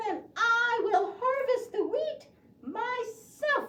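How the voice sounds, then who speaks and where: A female-sounding cartoonish character voice, squeaky and at an extremely high pitch, moves at a very slow pace. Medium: puppet show. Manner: cheerful, clear, storytelling for preschoolers.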